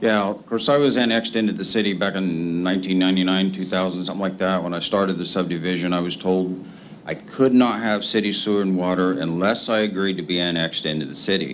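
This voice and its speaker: Over noticeable background noise and audible room echo, a man speaks in a very deep, low voice with ordinary pitch variation. He talks at a very fast pace with hardly any pauses. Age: 60s. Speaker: property owner addressing a city board. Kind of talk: public comment at a municipal meeting.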